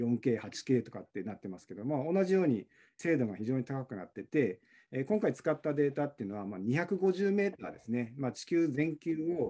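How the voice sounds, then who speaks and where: A man speaks at a moderate pace and a fairly high pitch, in a dark, mellow tone. His pitch swings very widely, and his loudness rises and falls sharply. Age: 40s. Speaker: university researcher in fisheries science. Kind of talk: interview. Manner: halting.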